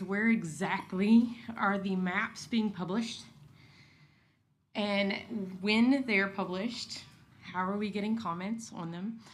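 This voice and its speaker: At a fairly slow pace, a woman speaks at a medium pitch with audible room echo. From Kentucky, rural. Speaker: resident speaking at public comment. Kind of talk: public comment at city meeting. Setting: city commission meeting.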